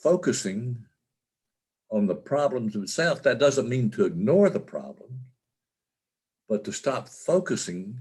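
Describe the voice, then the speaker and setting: A man's somewhat breathy medium-pitched voice at a fairly slow pace, with very wide pitch swings and long, frequent pauses. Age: 70s. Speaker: author and caregiver of wife with Alzheimer's. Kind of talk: interview. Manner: halting, many fillers and repetitions.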